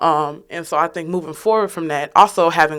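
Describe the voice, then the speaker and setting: A plain, everyday voice with an American accent, ordinary pitch variation and a fairly quick pace. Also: woman. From Chicago, South Shore. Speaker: youth activist. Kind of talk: panel discussion.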